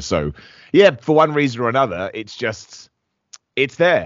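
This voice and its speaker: Lively intonation marks this man's speech in a southern English accent. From England, Luton. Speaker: professional wrestler. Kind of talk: casual interview.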